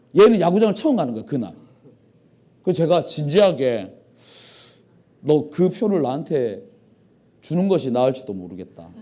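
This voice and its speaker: His pitch swinging very widely, a man speaks at a moderate pace in a dark, mellow tone. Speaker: pastor. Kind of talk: sermon. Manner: animated.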